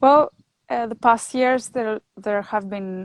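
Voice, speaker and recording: Fairly high and fairly even in intonation, a woman speaks slowly-ish with a Greek accent. Her sound is dry and close with no echo, on a very clean recording with a silent background. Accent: non-native English, Greek. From northern Greece. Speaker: winemaker and chemist. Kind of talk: interview. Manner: halting.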